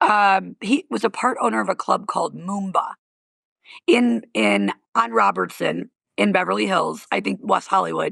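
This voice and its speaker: The sound is dry and close, without any echo. A woman is talking at a fairly slow pace. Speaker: comedian and comedy club owner. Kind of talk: casual chat. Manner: animated.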